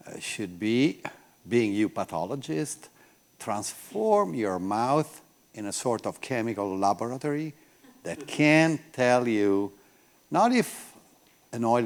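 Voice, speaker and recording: Speaking at a very slow pace, a man with an Italian accent uses a fairly low pitch and lively intonation. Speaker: olive oil producer. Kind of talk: lecture.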